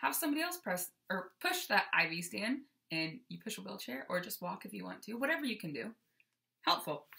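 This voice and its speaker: A woman at a fairly quick pace, her loudness swinging widely. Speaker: vlogger sharing weight loss surgery experience. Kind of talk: casual chat. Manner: animated.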